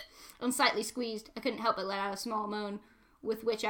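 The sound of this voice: The text is delivered in an unforced reading voice with fairly even intonation.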